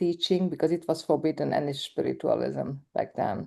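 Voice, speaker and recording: With a Hungarian accent, a woman speaks at a moderate pace in a dark, mellow tone. The background is quiet. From Hungarian minority in Romania. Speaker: documentary film director. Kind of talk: interview conversation. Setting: live event with audience. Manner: halting.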